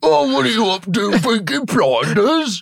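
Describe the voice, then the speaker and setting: A man's put-on character voice, high in pitch with very wide pitch swings, at a moderate pace. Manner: shouting, aggressive.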